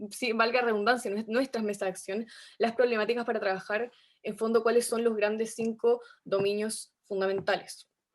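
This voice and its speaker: Fairly high pitch from a woman, monotone and flat, at a moderate pace. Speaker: youth activist. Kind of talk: panel discussion.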